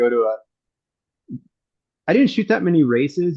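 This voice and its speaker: A man with an American accent. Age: 60s. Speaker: BMX photographer and writer. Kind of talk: casual chat.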